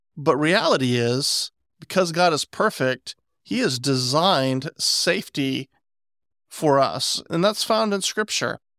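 A man with a normal speaking voice has a fairly high pitch and lively intonation. The sound is dry and close with no echo, a very clean recording with a silent background. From West Virginia. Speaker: podcast host. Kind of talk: casual chat.

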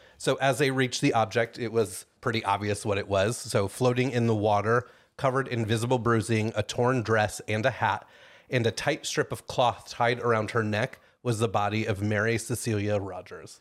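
A man with an unremarkable speaking voice, medium pitch, fairly even intonation and a moderate pace, on a very clean recording with a silent background. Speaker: true crime podcast host. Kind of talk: casual chat with storytelling. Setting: recording with a small audience.

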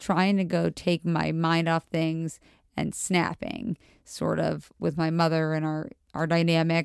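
In an ordinary speaking voice with an American accent, a woman speaks at a fairly slow pace with fairly low pitch, fairly even intonation and very even loudness, in a very clean recording with a silent background and a dry, close sound with no echo. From Montgomery County, Maryland, near DC. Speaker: friend of the host. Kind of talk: casual chat. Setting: at home.

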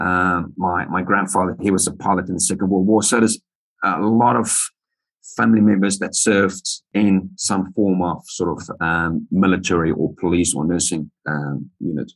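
A man's very deep, low voice at a moderate pace, with ordinary pitch variation. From South Africa, Johannesburg. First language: Afrikaans. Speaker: army veteran and writer. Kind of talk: casual interview chat. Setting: video call.

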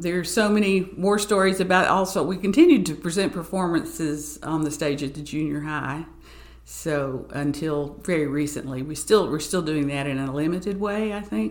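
Speech in an Appalachian accent at a moderate pace, with ordinary pitch variation and audible room echo. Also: woman, very deep, low pitch for a woman. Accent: Appalachian Southern US. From Southwest Virginia and East Tennessee. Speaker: arts administrator and pianist. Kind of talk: casual interview.

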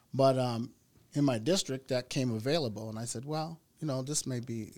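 A man with an American accent talks at a medium pitch with ordinary pitch variation. The recording is very clean, with a silent background. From US Midwest (South Minneapolis, Minnesota). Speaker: political candidate. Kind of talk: interview. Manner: halting.

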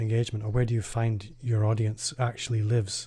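A dark, mellow, somewhat breathy voice speaks in a calm tone at a moderate pace on a very clean recording with a silent background. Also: man. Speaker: podcast host. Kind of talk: interview.

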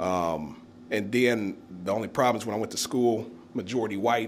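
A man with a fairly low pitch and ordinary pitch variation speaks at a moderate pace.

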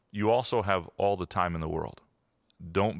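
A man speaks at a moderate pace in a fairly low pitch with ordinary pitch variation, in an unremarkable speaking voice. The recording is very clean, with a silent background. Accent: American. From Michigan, Lansing. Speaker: sports columnist. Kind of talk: interview.

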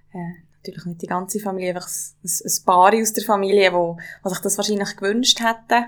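The voice moves at a fairly quick pace with monotone, flat intonation and big swings in loudness. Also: woman, medium pitch for a woman. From Swiss mountain valley (Valais). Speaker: yoga teacher and business partner. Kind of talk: casual conversation.

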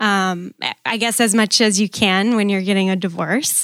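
A woman with a Wisconsin accent speaks at a medium pitch in a flat, monotone intonation on a very clean recording with a silent background. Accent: Upper Midwest (Wisconsin). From Green Bay, Wisconsin. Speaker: church member, newlywed. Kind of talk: casual interview.

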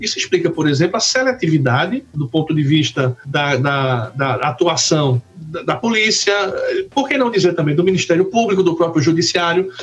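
Against noticeable background noise, a man speaks at a moderate pace with a high pitch and lively intonation. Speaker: law professor. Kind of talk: academic discussion.

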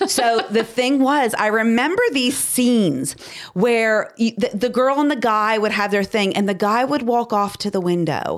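A woman talks at a fairly slow pace with lively intonation and a fairly high pitch. She has a normal speaking voice. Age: 50s. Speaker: podcast co-host. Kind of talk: casual chat.

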